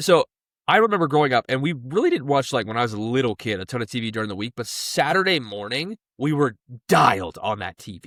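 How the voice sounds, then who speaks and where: The sound is dry and close with no echo, on a very clean recording with a silent background. A man speaks at medium pitch with very wide pitch swings. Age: 20s. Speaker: podcast co-host. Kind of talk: casual chat. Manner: halting, many fillers.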